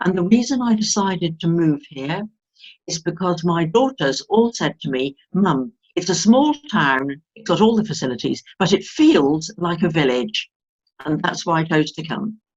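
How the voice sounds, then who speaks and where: The voice is somewhat breathy, at a moderate pace. Its intonation is lively. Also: woman, fairly low pitch for a woman. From southern England, Hampshire. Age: 70s. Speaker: retired former teacher. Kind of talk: interview.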